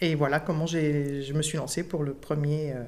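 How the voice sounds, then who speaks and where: This is a woman speaking. Her pace is moderate. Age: 50s. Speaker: school education assistant and clown student. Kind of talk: interview before live audience. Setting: recorded with live audience.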